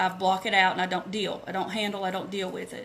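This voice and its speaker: A woman with a Southern US accent. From US South, Asheville North Carolina. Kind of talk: live video training, personal testimony. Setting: live Facebook video. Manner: halting.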